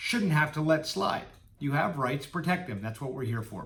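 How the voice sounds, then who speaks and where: A man's fairly high voice carries with audible echo from the room. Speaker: employment lawyer. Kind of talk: informational talk to camera. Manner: fast.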